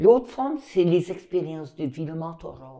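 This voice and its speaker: This woman's dark, mellow tone sits at a fairly low pitch, her intonation lively as she talks at a fairly slow pace. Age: 70s. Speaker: retired teacher. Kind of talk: interview.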